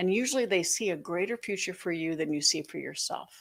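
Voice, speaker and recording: An unremarkable speaking voice. The pace is fairly quick. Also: woman. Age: 60s. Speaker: author and financial educator. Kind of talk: interview.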